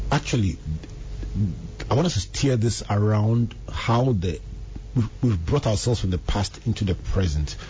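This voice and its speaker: Against noticeable background noise, a man speaks at a moderate pace and fairly low pitch with lively intonation and very even loudness, pausing often and at length. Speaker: radio host and reverend. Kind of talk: radio talk show. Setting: radio studio.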